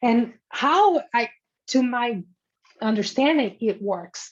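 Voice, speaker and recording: The intonation is lively. The speaker has a non-native accent. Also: woman. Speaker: philosophy scholar. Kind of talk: academic Q&A answer. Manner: halting.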